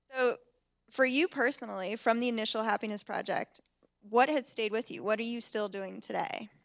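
Against a quiet background, a woman with an unremarkable speaking voice talks at a fairly quick pace, fairly high in pitch with fairly even intonation. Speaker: event moderator. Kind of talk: onstage interview. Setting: stage with audience. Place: hall. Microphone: handheld.

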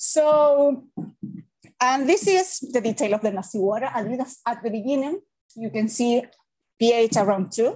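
Against a quiet background, a woman with a Spanish accent speaks fairly slowly at a high pitch, with lively intonation and long, frequent pauses. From Chile. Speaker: civil engineering professor; presenter. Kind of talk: academic seminar lecture. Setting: hybrid webinar with live audience. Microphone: webcam.

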